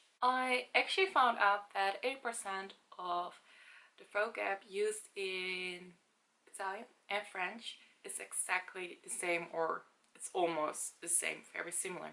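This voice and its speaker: With a Dutch accent, a woman speaks at medium pitch and a fairly slow pace, her bright, sharp tone showing ordinary pitch variation. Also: big swings in loudness. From Netherlands. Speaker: language-learning vlogger. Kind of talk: casual vlog talk.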